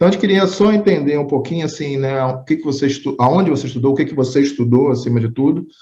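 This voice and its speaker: Somewhat breathy speech with a dark, mellow tone at a very fast pace, hardly any pauses and ordinary pitch variation. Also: man, fairly high pitch for a man. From Rio de Janeiro, Brazil. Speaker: interview podcast host. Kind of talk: interview.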